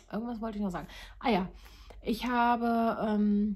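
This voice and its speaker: A woman speaks in a somewhat breathy voice. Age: 30s. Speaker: knitting vlogger. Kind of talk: casual monologue to viewers. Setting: home, recording alone.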